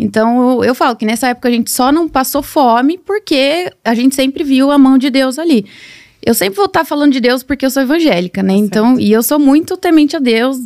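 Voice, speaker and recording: A woman speaks with a high pitch and lively intonation at a fairly quick pace. The background is quiet. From Brazil, São Paulo state (Nova Odessa); São Paulo state, Brazil. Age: 20s. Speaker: social media marketer and mentor; podcast guest. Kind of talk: casual interview chat. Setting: studio. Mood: reflective, personal storytelling. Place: studio. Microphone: studio mic.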